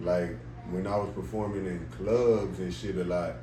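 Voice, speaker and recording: There is audible room echo around a man's very deep, low-pitched voice. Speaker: rapper. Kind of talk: casual interview.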